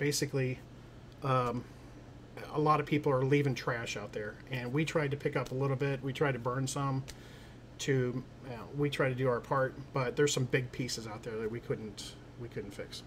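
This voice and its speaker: Fairly quick, fairly even speech from a man at medium pitch. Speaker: hiking and camping YouTuber. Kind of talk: livestream Q and A. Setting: livestream on YouTube and Facebook. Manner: fast; halting, stumbles over words.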